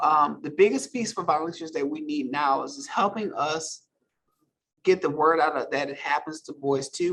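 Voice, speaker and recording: A man speaks at a moderate pace with a fairly high pitch in a plain, everyday voice. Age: 50s. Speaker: guest speaker and advocate for trafficking survivors. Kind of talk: virtual event Q&A.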